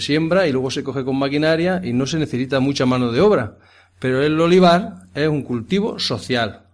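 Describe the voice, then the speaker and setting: A plain, everyday voice from a man of medium pitch, with lively intonation. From Andalusia, Jaén province. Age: 50s. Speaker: farm manager. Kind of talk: interview. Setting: on location at a rural farmhouse.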